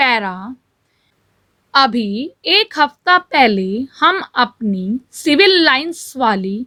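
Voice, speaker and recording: A woman's raised, projected voice rings out high-pitched, bright and sharp, with very wide pitch swings. The recording is very clean, with a silent background. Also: dry, close sound with no echo. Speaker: shorthand dictation reader. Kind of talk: shorthand dictation read aloud at set speed. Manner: steady, dictation pace, clear.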